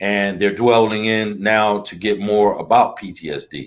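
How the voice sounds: The man's intonation is fairly even, and his pitch is fairly low. He talks at a fairly slow pace.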